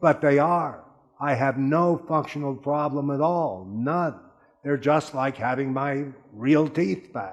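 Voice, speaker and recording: Music plays in the background as a man speaks at a very slow pace. His pitch is fairly high, with ordinary variation. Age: 70s. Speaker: dental patient giving testimonial. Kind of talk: testimony. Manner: animated.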